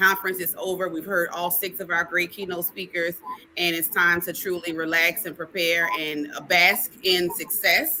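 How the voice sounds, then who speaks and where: Against noticeable background noise, a woman with a fairly low pitch speaks in an animated tone. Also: moderate pace. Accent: strong New Orleans. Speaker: conference organizer. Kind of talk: casual livestream chat. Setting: online livestream.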